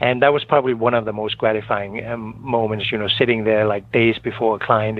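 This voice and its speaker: Over noticeable background noise, a man speaks at a moderate pace. His pitch is fairly low and his intonation monotone and flat. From Denmark. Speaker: financial planner. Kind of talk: radio interview. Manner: hesitant, many fillers.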